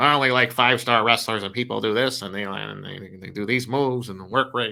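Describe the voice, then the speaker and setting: At a fairly quick pace, a man does a put-on character voice at a medium pitch. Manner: mocking, exaggerated nerd voice.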